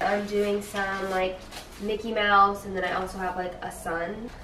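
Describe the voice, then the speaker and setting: Light background noise and audible room echo surround a woman's voice. She speaks at a fairly slow pace. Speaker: vlogger. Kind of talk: casual vlog chat. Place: kitchen. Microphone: camera far.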